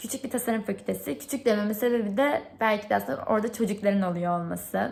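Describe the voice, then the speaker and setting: The woman's voice is somewhat breathy. She moves through her words at a fairly quick pace. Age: 20s. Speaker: product designer applying for instructor job. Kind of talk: video application monologue; role-play reply to a parent.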